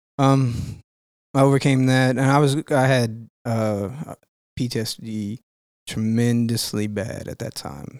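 This man has a plain, everyday voice at a medium pitch, with fairly even intonation. He talks at a fairly slow pace, and the sound is dry and close with no echo. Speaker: retired army veteran.

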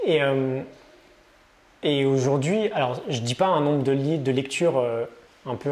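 Ordinary pitch variation in a man's voice pitched fairly high. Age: 30s. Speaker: entrepreneur and online content creator. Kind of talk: casual interview. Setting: coworking space.

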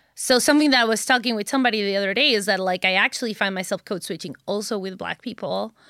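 At a very fast pace, a woman with a Spanish accent speaks in a bright, sharp tone with medium pitch and ordinary pitch variation, in a dry, close sound with no echo. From Mexico. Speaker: chemistry education researcher. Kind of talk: casual chat.

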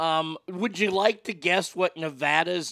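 Loud and very slow, a man speaks with an American accent in a bright, sharp tone. The sound is dry and close with no echo. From Texas. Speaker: podcast host. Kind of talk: casual chat. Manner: animated.

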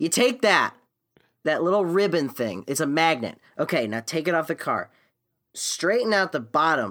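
Bright and sharp in tone, a voice with an American accent moves at a moderate pace through very wide pitch swings and long, frequent pauses, on a very clean recording with a silent background. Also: man, fairly high pitch for a man. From US, Florida (Naples). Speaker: podcast co-host, musician. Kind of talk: casual chat.

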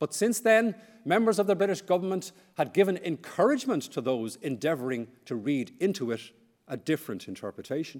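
A man speaks with an Irish accent, his pitch high and swinging very widely. His pace is fairly quick. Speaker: historian. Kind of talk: lecture. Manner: formal.

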